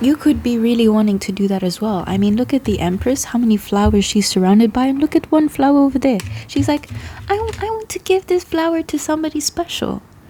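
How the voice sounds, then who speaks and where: Over noticeable background noise, a woman with a high pitch and a playful tone talks at a very fast pace with very wide pitch swings. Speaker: tarot reader. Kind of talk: tarot reading to camera. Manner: casual, playful.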